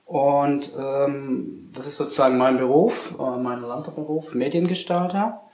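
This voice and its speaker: Amid noticeable background noise and audible room echo, a man speaks at a very slow pace and fairly high pitch, with ordinary pitch variation and big swings in loudness. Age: 40s. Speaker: media design company director and youth coach. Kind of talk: interview. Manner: halting.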